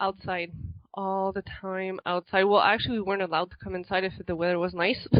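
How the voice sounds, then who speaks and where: With a slight non-native accent, a woman speaks at a fairly quick pace in a monotone, flat intonation. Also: medium pitch for a woman. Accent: slight foreign accent in English. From Quebec, Montreal area. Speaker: author. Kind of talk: interview.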